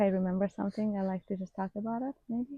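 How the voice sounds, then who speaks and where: A woman speaks at a fairly quick pace and medium pitch, with fairly even intonation. Her tone is dark and mellow, and somewhat breathy. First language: Farsi. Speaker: vlogger, former hairstylist. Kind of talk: casual unscripted vlog chat. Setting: at home in front of a camera.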